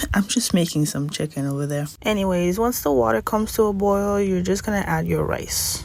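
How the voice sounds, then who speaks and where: A woman with a non-native accent is heard amid noticeable background noise and audible room echo. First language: not English. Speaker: cooking instructor. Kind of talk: tutorial. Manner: casual.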